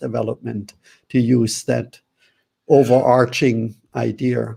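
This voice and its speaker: A man speaks in a German accent at medium pitch. His tone is dark and mellow. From Germany. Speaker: author and relationship teacher. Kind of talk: interview.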